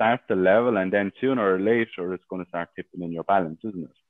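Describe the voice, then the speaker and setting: In an Irish accent, a man with a very deep, low voice speaks at a fairly quick pace with ordinary pitch variation. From Ireland. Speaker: sales team manager and coach. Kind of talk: interview. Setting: live stream in a Facebook group.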